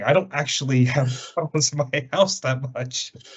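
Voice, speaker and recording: Speaking with a medium pitch, a man sounds somewhat breathy. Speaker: podcast host. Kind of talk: casual podcast chat.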